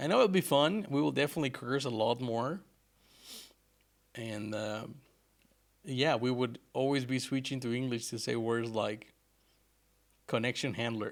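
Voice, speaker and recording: Recorded very cleanly against a silent background, a man with a slight non-native accent talks with long, frequent pauses. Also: medium pitch for a man, ordinary pitch variation, moderate pace. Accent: slight non-native accent, worked on. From Argentina. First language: Spanish. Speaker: programmer streamer. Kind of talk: live coding stream chat. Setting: live stream. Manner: casual, self-correcting.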